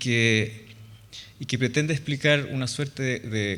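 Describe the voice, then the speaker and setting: A man speaks with a Chilean accent at a fairly slow pace. His intonation is fairly even, and audible room echo surrounds his voice. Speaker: architect. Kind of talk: lecture.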